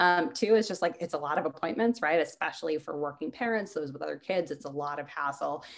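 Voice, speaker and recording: A woman's fairly low voice with an American accent at a very fast pace, with lively intonation, hardly any pauses, and a quiet background. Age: 20s. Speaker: startup CEO and eating disorder advocate. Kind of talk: interview.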